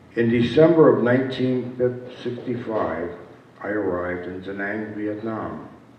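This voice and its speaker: A man in an American accent at a moderate pace, ordinary pitch variation, with audible room echo and noticeable background noise. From upstate New York. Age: 70s. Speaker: war veteran. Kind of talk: speech. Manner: halting.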